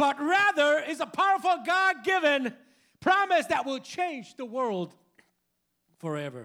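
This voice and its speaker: A man speaks in an extremely high, raised and projected voice with a bright, sharp tone. His delivery is animated with lively intonation, at a fairly slow pace with long, frequent pauses. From Puerto Rico, San Juan. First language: Spanish. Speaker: preacher. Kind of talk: bilingual sermon. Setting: church with congregation. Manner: animated, loud.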